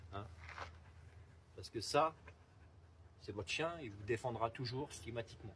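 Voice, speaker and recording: A man at a medium pitch, with a calm tone, ordinary pitch variation, and a moderate pace. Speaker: dog trainer. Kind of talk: outdoor demonstration. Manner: switches between calm and loud commanding tone.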